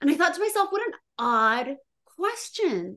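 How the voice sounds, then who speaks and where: A woman talks in a bright, sharp tone. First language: bilingual Spanish and English. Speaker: writer. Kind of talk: interview.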